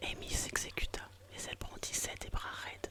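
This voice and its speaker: A woman whispers at a moderate tempo, with noticeable background noise around her. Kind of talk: whispered novel reading, narration with dialogue. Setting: intended for headphones, bedtime relaxation. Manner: whispered, soft, relaxing.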